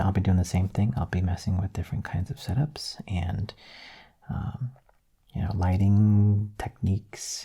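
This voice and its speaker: Soft-spoken and somewhat breathy, a man talks at a moderate pace with ordinary pitch variation, a fairly low pitch and a dark, mellow tone. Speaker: ASMR artist. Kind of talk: soft-spoken channel update talk.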